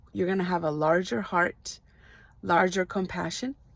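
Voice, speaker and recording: A woman speaks with a Spanish accent. Her pitch is medium. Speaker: life coach. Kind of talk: motivational talk. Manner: hesitant, many fillers.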